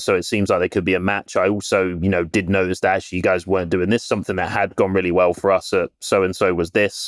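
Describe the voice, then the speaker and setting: A man with a British accent talks at a very fast pace, his very deep, low pitch flat and monotone. The recording is very clean, dry and close, with a silent background and no echo. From UK. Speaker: recruiter. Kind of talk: casual interview chat.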